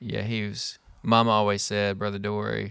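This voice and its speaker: A man speaks with an Arkansas accent in a bright, sharp tone. His intonation stays monotone and flat. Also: very clean recording, silent background. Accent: US Southern (Arkansas). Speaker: podcast host. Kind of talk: casual chat. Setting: workshop.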